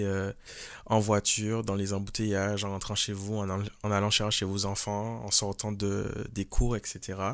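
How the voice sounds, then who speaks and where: The recording is very clean, with a silent background. A man with a Martinican accent speaks at a fairly low pitch. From Martinique. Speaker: podcaster and singer. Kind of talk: casual podcast monologue. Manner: hesitant, many fillers.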